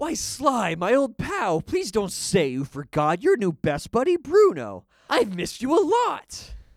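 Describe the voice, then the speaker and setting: A put-on character voice, fairly high in pitch, at a moderate pace with hardly any pauses. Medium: audio drama. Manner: charming, sing-song rhyming.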